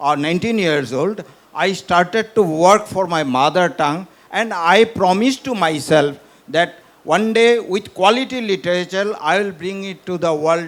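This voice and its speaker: In a Northeast Indian accent, a man talks at a moderate pace with a high pitch and ordinary pitch variation. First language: Bishnupriya Manipuri. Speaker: professor and author. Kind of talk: literary festival panel conversation.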